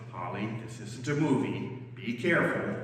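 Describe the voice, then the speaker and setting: A resonant, put-on character voice speaks at a moderate pace with strong echo. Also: woman, very deep, low pitch for a woman. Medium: read story.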